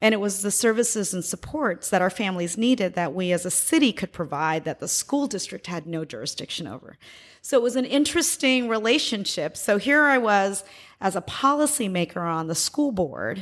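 A woman speaks at a medium pitch with an American accent. Her pitch swings very widely. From US, military family moving around. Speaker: former education official. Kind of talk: interview.

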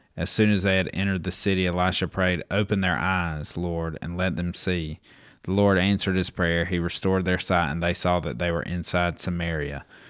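On a very clean recording with a silent background, a man speaks at a fairly quick pace. His very deep, low pitch holds fairly even intonation. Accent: American. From US South. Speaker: podcast producer. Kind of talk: casual Bible discussion. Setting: studio.

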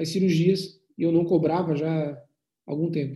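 This man has a high voice with a dark, mellow tone, talking at a moderate pace with fairly even intonation. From Brazil, Florianópolis (Santa Catarina). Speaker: plastic surgeon. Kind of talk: interview conversation. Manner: halting, many repetitions and fillers.

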